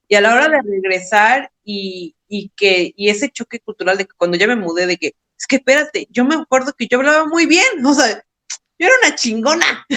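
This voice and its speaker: A high-pitched woman with a Mexican accent, bright and sharp in tone, at a moderate pace with very wide pitch swings and big swings in loudness, in a dry, close sound with no echo. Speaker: podcast co-host. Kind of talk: casual chat. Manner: halting.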